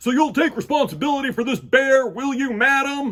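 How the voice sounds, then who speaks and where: A man puts on a loud character voice at an extremely high pitch, talking at a fairly quick pace. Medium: read story. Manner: loud, blustering.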